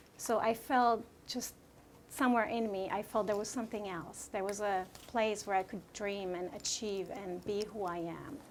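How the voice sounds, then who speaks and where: A woman talks at a moderate pace with a Slovak accent. Her pitch is medium, with ordinary variation. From Slovakia. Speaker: real estate agent. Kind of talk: interview. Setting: room with audience.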